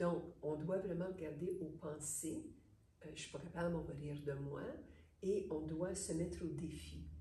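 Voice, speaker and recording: A woman speaks at a fairly slow pace in a very deep, low voice with vocal fry. Her tone is dark and mellow, her intonation monotone and flat, and room echo is audible. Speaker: psychologist / therapist. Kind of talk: interview.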